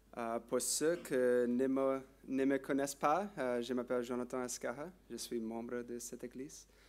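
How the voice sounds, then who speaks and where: A man with an English accent speaks at a very slow pace in a medium pitch, with ordinary pitch variation. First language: English (speaking French). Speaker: lay preacher. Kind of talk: sermon. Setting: church. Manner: halting.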